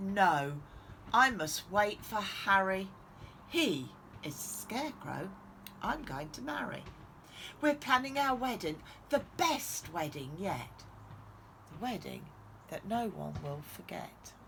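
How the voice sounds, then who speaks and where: A put-on character voice with very wide pitch swings, long, frequent pauses and a fairly slow pace over clear background noise. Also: female-sounding voice, medium pitch for a woman. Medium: read story.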